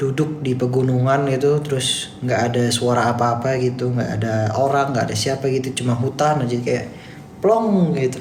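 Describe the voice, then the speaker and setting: A man speaks at a moderate pace and a medium pitch with fairly even intonation, and there is noticeable background noise and audible room echo. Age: 20s. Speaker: TikTok live streamer. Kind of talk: casual live stream chat reading comments. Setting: office, live stream.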